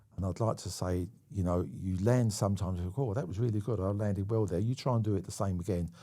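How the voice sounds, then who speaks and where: With a London accent, a man talks very fast with hardly any pauses in a fairly low, dark, mellow voice and ordinary pitch variation, on a very clean recording with a silent background. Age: 70s. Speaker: stunt coordinator. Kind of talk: casual chat. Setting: studio.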